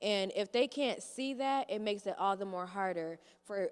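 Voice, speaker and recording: A woman at medium pitch with an American accent, an unremarkable speaking voice, and a moderate pace. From Michigan (Kalamazoo). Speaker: youth voting coordinator. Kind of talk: panel remarks.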